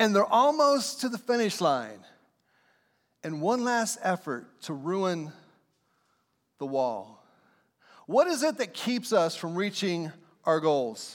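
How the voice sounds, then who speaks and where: Speaking at a very slow pace with long, frequent pauses, a man with a high pitch and very wide pitch swings comes through on a very clean recording against a silent background. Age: 50s. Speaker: pastor. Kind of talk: sermon. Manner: repetitive emphatic delivery.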